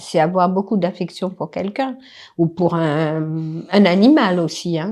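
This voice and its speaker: Against a quiet background, a woman speaks at a very slow pace in a dark, mellow tone with ordinary pitch variation. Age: 70s. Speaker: grandmother interviewed. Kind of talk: casual interview.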